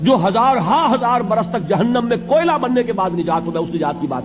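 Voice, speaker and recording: A man speaks with lively intonation while noticeable background noise carries on. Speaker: Islamic scholar. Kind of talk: religious lecture (bayan).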